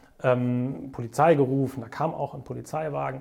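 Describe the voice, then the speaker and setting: Speaking at a fairly high pitch with ordinary pitch variation, a man has a dark, mellow tone. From Bonn area, Swabian upbringing. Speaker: entrepreneur, event agency owner. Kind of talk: interview storytelling.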